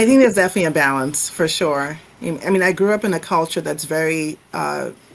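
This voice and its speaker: With a Nigerian accent, a woman speaks at a very fast pace in a fairly low pitch, using ordinary pitch variation. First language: Igbo. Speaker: professor. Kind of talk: interview.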